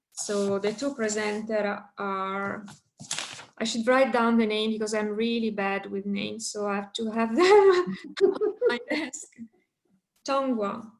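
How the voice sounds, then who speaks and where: A woman's fairly high voice, fairly slow and fairly even in intonation, with a non-native accent and long, frequent pauses. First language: not English. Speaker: session chair. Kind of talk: casual chat.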